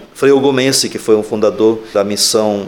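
Against noticeable background noise, a man with a fairly low pitch talks at a fairly slow pace in a monotone, flat intonation. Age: 60s. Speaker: Franciscan friar. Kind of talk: interview. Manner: halting.

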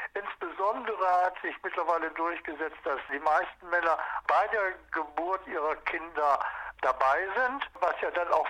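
Fairly slow, high-pitched speech from a man, with ordinary pitch variation and noticeable noise in the background. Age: 70s. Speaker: church men's group leader. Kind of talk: interview.

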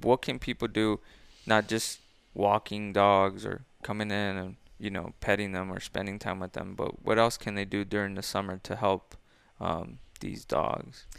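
At a moderate pace, a man with an ordinary speaking voice speaks at a fairly low pitch with fairly even intonation. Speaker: podcast host. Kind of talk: casual interview chat.

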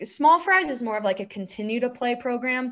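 A woman talks with a Southwestern US accent. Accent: American (Southwest). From Arizona. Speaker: former Olympic hockey player. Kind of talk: interview.

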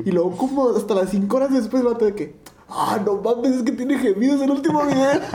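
A man with a Mexican accent talks very fast in an extremely high pitch, with ordinary pitch variation and very even loudness over noticeable background noise. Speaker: podcast co-host. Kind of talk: casual chat.

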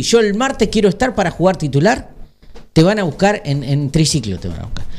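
A man talks at a fairly quick pace in a high voice with lively intonation. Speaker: radio co-host, football fan. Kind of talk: casual chat about football.

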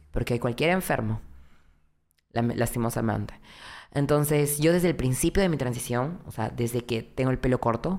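A woman speaks with a very deep, low pitch, vocal fry and lively intonation. Her moderate pace is broken by long, frequent pauses. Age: 20s. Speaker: content creator. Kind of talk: casual chat. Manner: talkative.

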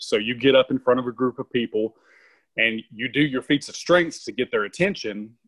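A man with a Southern US accent speaks at a moderate pace, his pitch medium with ordinary variation. The sound is dry and close, with no echo. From Tennessee. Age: 40s. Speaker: strongman performer and sheriff's officer. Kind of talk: casual interview chat.

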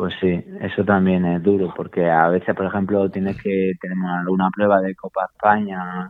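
At a moderate pace and with hardly any pauses, a man talks in a very deep, low pitch and a monotone, flat intonation. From Málaga, Andalusia, Spain. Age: 40s. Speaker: master cyclist, PE teacher. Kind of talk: interview.

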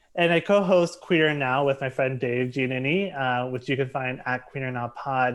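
A man with an American accent speaks at a fairly slow pace and a medium pitch with ordinary pitch variation. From US, Southern Maryland (Charles County). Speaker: writer and podcaster. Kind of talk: casual chat. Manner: halting, many fillers.

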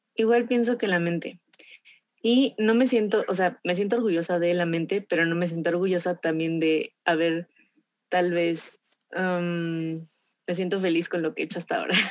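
Here is a woman with an unremarkable speaking voice and a fairly low pitch. She talks at a moderate pace with ordinary pitch variation. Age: 20s. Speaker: insurance agent. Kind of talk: testimony.

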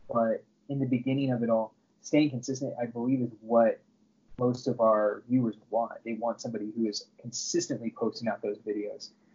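Medium-pitched man at a fairly quick pace with fairly even intonation. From Southern California. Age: 30s. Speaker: YouTube creator and loan processor. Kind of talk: casual interview. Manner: halting, many fillers.

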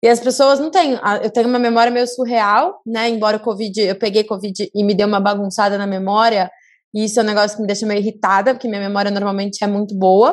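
On a very clean recording with a silent background, a woman talks at a very fast pace, her fairly high pitch staying in fairly even intonation. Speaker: podcast host. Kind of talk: casual chat.

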